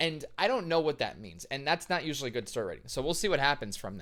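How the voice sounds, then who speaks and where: Vocal fry runs through this animated delivery, captured on a very clean recording against a silent background. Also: man. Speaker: composer and vocalist reacting to musicals. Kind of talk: reaction video commentary.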